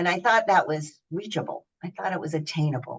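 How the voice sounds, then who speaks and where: With an American accent, a woman talks using ordinary pitch variation. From US South, Knoxville, Tennessee. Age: 70s. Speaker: senior athlete and fitness speaker. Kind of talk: interview.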